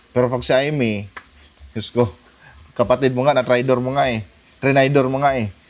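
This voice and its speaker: A man talks at a fairly quick pace in a medium pitch with an animated tone. He leaves long, frequent pauses. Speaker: political commentary YouTuber. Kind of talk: casual political commentary.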